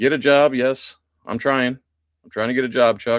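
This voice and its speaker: In a very clean recording with a silent background, a man with an American accent speaks at medium pitch. His tone is animated, and the sound is dry and close with no echo. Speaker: live stream host. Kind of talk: casual live stream chat, reading viewer comments. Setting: live stream.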